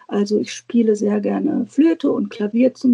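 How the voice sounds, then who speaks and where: A woman's fairly high, somewhat breathy voice with a dark, mellow tone, ordinary pitch variation and a fairly slow pace, dry and close with no echo. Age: 50s. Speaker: guest on a planner podcast, teacher. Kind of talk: casual interview chat. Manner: hesitant, many filler sounds.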